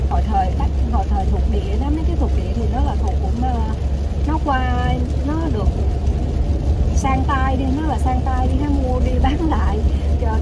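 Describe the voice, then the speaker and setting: Loud background noise fills the recording. The speaker keeps a moderate pace. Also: woman. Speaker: vlogger. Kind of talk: casual vlog chat. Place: car. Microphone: phone near.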